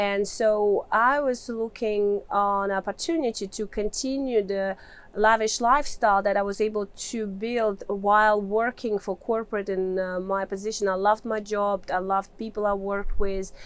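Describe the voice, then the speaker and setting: A woman with a Russian accent speaks at a moderate pace with hardly any pauses, her medium pitch and fairly even intonation on a very clean recording with a silent background. Her delivery stays fairly level throughout. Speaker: mining engineer and real estate investor. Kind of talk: interview answer.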